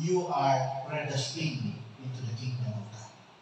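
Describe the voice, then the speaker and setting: Noticeable background noise and audible room echo surround a man speaking at a fairly slow pace in a fairly high voice with fairly even intonation. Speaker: pastor. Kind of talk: sermon. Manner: raises voice for emphasis.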